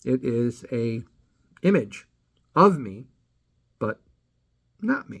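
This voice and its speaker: Some breathiness runs through the voice. Its intonation moves in a lively way. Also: man. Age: 60s. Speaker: channel creator, amateur comedy writer. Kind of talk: casual personal introduction to camera. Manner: hesitant, many fillers.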